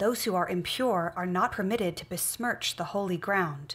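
A woman speaks at a moderate pace. Her voice is somewhat breathy. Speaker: reader in a religious film. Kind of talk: scripture reading aloud. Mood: earnest, solemn. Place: home room.

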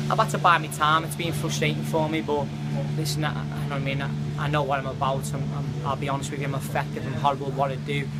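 Music plays in the background. A man speaks over it at a very fast pace. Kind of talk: interview answer. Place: hall.

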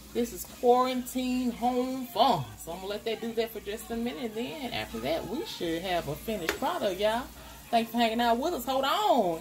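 Over light background noise, a woman talks at a fairly quick pace with hardly any pauses. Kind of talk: casual cooking tutorial chat. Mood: upbeat and playful. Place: kitchen. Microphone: phone near.

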